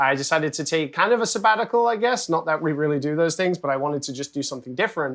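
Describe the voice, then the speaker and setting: A man speaks at a very fast pace with a fairly high pitch. The background stays quiet. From UK. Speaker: game studio director. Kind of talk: interview. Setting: game development studio.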